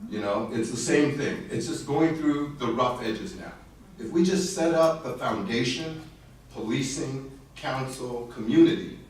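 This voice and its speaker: Against noticeable background noise and audible room echo, a man with an American accent talks fairly slowly at a medium pitch, with ordinary pitch variation and big swings in loudness. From Southern California (Cerritos), Korean-born. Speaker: business executive. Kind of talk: panel discussion. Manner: hesitant, many fillers.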